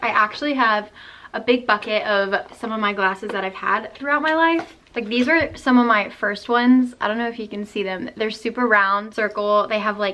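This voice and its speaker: Over noticeable background noise, a woman with a fairly high pitch speaks in an upbeat tone at a moderate pace with ordinary pitch variation. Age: 20s. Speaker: college student. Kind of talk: casual vlog talk to camera.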